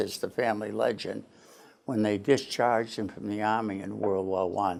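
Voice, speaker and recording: A man with an American accent, fairly low pitch, and vocal fry, at a moderate pace. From Portland, Maine, US. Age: 70s. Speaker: retired lawyer and politician. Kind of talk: oral history interview.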